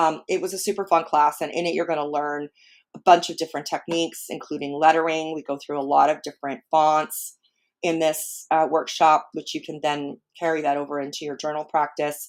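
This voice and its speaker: In a very clean recording with a silent background, a woman with a very deep, low pitch talks at a fairly quick pace in a monotone, flat intonation. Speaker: art journaling teacher and live streamer. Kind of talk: casual live stream talk. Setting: live stream. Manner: scattered, many fillers.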